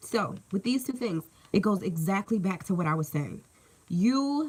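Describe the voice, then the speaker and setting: An animated woman talks at a moderate pace in a somewhat breathy voice, her pitch swinging very widely. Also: medium pitch for a woman. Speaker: tarot reader. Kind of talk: live tarot reading. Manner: casual, animated.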